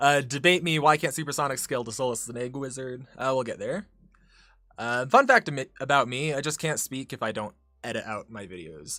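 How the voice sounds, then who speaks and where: Recorded very cleanly against a silent background, a man with a medium pitch and a bright, sharp tone talks at a fairly quick pace with ordinary pitch variation and big swings in loudness. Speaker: YouTuber streamer. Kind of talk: casual livestream chat reading chat messages. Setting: livestream. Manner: halting, frequent self-corrections.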